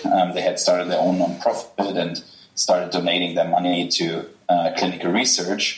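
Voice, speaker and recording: A man with a German accent speaks at a moderate pace amid noticeable background noise. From Germany. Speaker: healthcare company co-founder and investor. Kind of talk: interview. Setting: video call. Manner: halting, many filler sounds.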